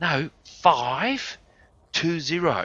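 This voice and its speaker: Bright and sharp in tone, a man talks at a fairly high pitch with ordinary pitch variation, the sound dry and close with no echo. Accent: Australian. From Australia. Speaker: gaming live streamer. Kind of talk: casual storytelling during game stream. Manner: fast; animated.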